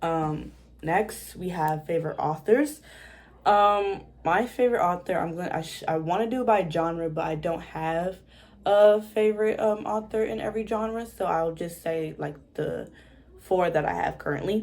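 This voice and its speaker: In an American accent, a woman with a fairly low pitch uses a normal speaking voice, speaking at a moderate pace with ordinary pitch variation. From Washington, DC, USA. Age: young. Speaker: book YouTuber. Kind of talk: casual talk to camera.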